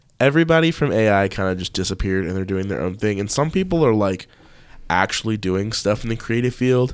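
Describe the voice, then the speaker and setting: Recorded very cleanly against a silent background, a man speaks in a fairly low pitch at a very fast pace. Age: 20s. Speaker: videographer and photographer. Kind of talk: casual chat.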